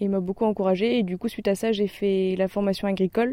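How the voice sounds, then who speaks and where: Dark, mellow tone at a fairly quick pace, fairly even intonation, on a very clean recording with a silent background. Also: woman. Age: 20s. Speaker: herb farmer. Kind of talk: interview. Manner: hesitant, casual with fillers.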